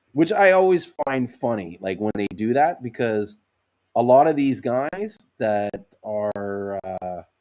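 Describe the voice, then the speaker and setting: Loud and very slow, a man talks at a medium pitch with very wide pitch swings. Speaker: sea moss seller. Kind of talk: live stream chat.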